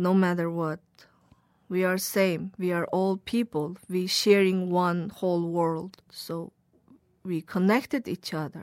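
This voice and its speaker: Very slow speech from a woman of medium pitch with a Xinjiang accent, on a very clean recording with a silent background. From Xinjiang, China. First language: Uyghur. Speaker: journalist. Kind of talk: interview testimony. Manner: halting.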